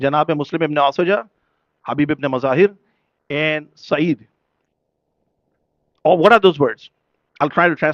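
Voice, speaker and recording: Long, frequent pauses break up speech in a Pakistani accent with ordinary pitch variation. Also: man, fairly high pitch for a man, moderate pace, dry, close sound with no echo. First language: Urdu. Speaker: religious speaker at a majlis. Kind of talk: sermon. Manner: emotional, impassioned.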